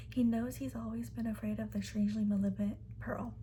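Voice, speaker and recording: A soft-spoken woman talks at a moderate pace. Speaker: ASMR creator. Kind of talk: reading a book blurb aloud. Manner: soft-spoken, rambling.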